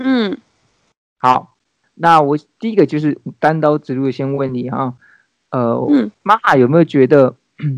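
Pausing long and often, a man speaks at a very slow pace with ordinary pitch variation in a dry, close sound with no echo. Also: fairly high pitch for a man. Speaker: podcast host. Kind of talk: casual chat.

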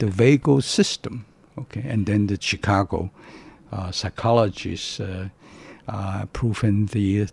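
A man speaks at a very slow pace with a fairly low pitch and a somewhat breathy voice. The sound is dry and close with no echo. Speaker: retired professor. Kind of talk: interview. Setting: studio.

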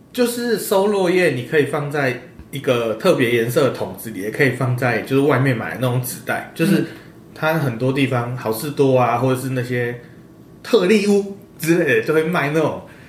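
Speaking at a moderate pace with lively intonation, a man with a fairly high voice is heard over noticeable background noise and audible room echo. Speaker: podcast guest. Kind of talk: casual chat.

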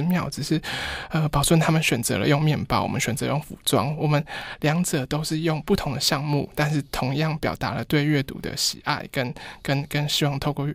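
A man with a fairly high pitch talks at a moderate pace. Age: 30s. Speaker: fashion designer. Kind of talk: interview. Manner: very quiet, low volume; halting, repeats words.

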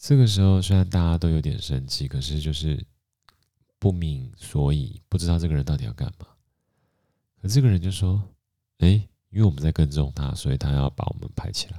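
A man's very deep, low voice with a dark, mellow tone, a fairly quick pace, ordinary pitch variation and big swings in loudness. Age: 40s. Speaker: podcast host. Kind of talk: casual storytelling monologue.

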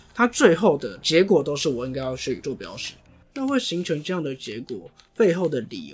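The speech moves at a moderate pace with very wide pitch swings and big jumps in loudness. Music plays in the background. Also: man. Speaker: podcast host. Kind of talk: casual policy discussion.

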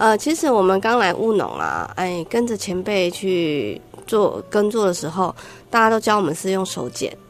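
Using a Taiwanese accent, a woman talks at a moderate pace and a medium pitch with ordinary pitch variation. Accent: Taiwanese Mandarin. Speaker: wildlife conservation researcher. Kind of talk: radio interview. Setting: studio.

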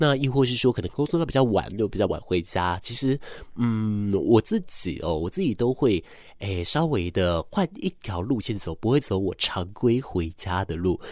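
A man's fairly low voice with very wide pitch swings, in a Taiwanese accent. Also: moderate pace, very clean recording, silent background. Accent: Taiwanese Mandarin. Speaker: radio host. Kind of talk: late-night radio talk.

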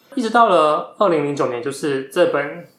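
A man speaks at a moderate pace with a fairly high pitch and lively intonation. There is audible room echo. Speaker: podcast host, bookstore worker. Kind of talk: book recommendation talk; casual chat. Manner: animated.

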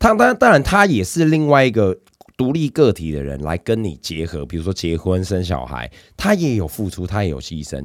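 With a Taiwanese accent, a man speaks in an animated tone at a fairly quick pace, his very deep, low voice making very wide pitch swings on a very clean recording with a silent background. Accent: Taiwanese Mandarin. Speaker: podcast co-host. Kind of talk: casual chat.

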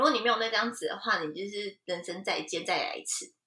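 Bright and sharp in tone, a woman races along at a very fast pace with very wide pitch swings. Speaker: fashion industry worker in Japan. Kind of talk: casual interview chat. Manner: animated.

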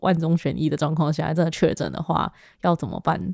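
Here a woman has a fairly low pitch and an unremarkable speaking voice at a fairly quick pace. The recording is very clean, with a silent background. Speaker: podcast host. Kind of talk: casual interview. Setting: in-person recording at home.

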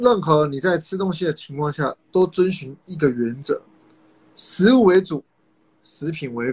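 A man speaks with a Taiwanese accent at a fairly high pitch and a fairly slow pace, leaving long, frequent pauses. His intonation is lively, and his loudness swings widely. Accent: Taiwanese Mandarin. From Taiwan, Kaohsiung (south). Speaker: nutritionist and fitness coach. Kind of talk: casual advice interview.

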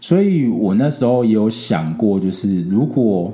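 In a Taiwanese accent, a man with a fairly low pitch and a dark, mellow tone speaks at a fairly slow pace with lively intonation. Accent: Taiwanese Mandarin. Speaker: podcast host. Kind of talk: casual solo podcast talk. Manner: hesitant, frequent fillers.

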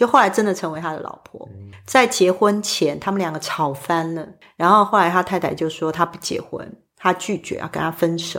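A woman with a Taiwanese accent speaks at a moderate pace and medium pitch, her pitch varying in an ordinary way and her loudness swinging widely, on a very clean recording with a silent background. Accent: Taiwanese Mandarin. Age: 40s. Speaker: spiritual medium. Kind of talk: interview conversation.

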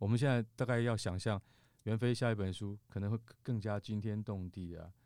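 A man talks at a moderate pace in a fairly low pitch, his tone dark and mellow. His intonation stays fairly even, and the recording is very clean with a silent background. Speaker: podcast host. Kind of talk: casual chat.

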